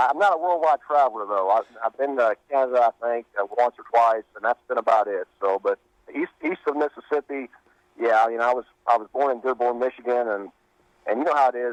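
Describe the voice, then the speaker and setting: With a Kentucky accent, a man of medium pitch talks at a fairly quick pace with lively intonation. The sound is dry and close, without echo. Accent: Kentucky Southern US. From Western Kentucky. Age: 40s. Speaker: country singer and company manager. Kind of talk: radio interview. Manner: halting.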